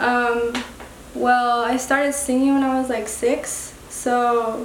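Against noticeable background noise, a woman talks at a very slow pace in a high pitch. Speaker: artist. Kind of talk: casual radio interview. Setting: studio. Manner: soft-spoken, laid-back, hesitant.

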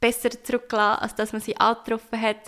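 A woman speaks in a bright, sharp tone at a fairly high pitch. Her intonation stays monotone and flat. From Switzerland, Nidwalden (Stans). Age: 20s. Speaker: tattoo artist. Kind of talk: casual interview.

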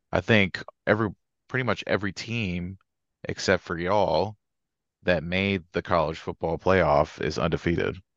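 Against a quiet background, a man with an American accent and a very deep, low pitch speaks with long, frequent pauses, the sound dry and close with no echo. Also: ordinary pitch variation, moderate pace. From Georgia, later northern US. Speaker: sports podcast co-host. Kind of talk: casual chat.

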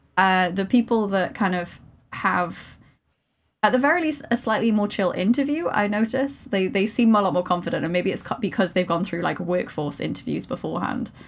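In a Welsh accent, a woman speaks at medium pitch and a fairly quick pace, with lively intonation. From Wales. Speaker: maths PhD student and science communicator. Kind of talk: casual chat.

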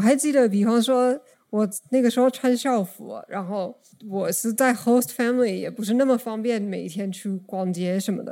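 Captured in a very clean recording with a silent background, a woman with a dark, mellow tone speaks at a moderate pace, her fairly high pitch showing ordinary pitch variation. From United States. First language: English (speaking Chinese). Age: 30s. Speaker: podcast guest. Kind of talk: casual chat.

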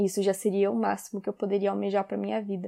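A woman's medium-pitched, dark and mellow voice, flat and monotone, at a fairly quick pace, in a dry, close recording with no echo. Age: 20s. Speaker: podcaster. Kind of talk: personal monologue.

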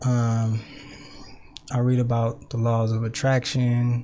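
Speaking with an American accent, a man has a dark, mellow tone, a medium pitch and a somewhat breathy quality. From Richmond, California (Bay Area). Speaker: poet and youth worker. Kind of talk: casual interview.

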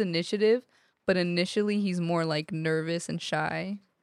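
A woman with a plain, everyday voice, medium pitch, a moderate pace and fairly even intonation. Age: 20s. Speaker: podcast guest, festival-goer. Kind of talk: casual chat.

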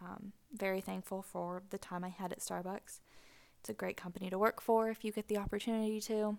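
A woman talks at a fairly quick pace with an American accent. Her pitch is medium and her intonation is monotone and flat. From US Pacific Northwest, near Seattle. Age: 20s. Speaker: dietitian podcast host. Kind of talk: solo podcast monologue. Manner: casual, rambling with fillers.

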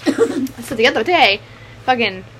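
Against noticeable background noise, a woman speaks in a high voice. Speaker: podcast co-host. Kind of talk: casual chat.

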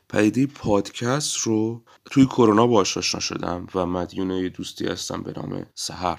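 The man speaks at a moderate pace, his pitch shifting in an ordinary way. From Iran, Abadan (Khuzestan). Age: 20s. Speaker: podcast host, musician. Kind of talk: solo podcast monologue.

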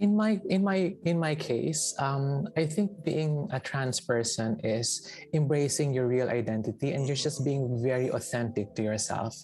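A woman's very deep, low voice with lively intonation and very even loudness, fairly slow yet with hardly any pauses, over background music. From Philippines, Palawan. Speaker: arts director and former dancer. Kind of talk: casual chat. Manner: halting.

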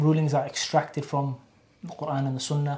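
A man's fairly high, somewhat breathy voice at a moderate pace, with monotone, flat intonation. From Wales, Cardiff. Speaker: Islamic university graduate. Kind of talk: casual interview. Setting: college library.

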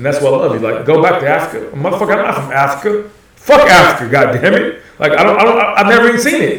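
A man with an American accent and a high voice, animated and very fast, with very wide pitch swings and hardly any pauses, over noticeable background noise with audible room echo. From Texas, Houston. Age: 40s. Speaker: guest. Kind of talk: casual chat.

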